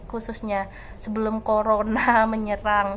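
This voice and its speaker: Moderately paced female speech with audible room echo. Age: 20s. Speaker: student vlogger. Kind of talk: casual vlog storytelling.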